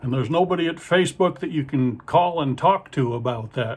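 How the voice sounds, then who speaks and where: This man's voice is fairly high in pitch and somewhat breathy, with ordinary pitch variation. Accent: Midwestern American. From Ohio, US Midwest. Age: 60s. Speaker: stand-up comedian and magician. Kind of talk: stand-up. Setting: video call to muted audience.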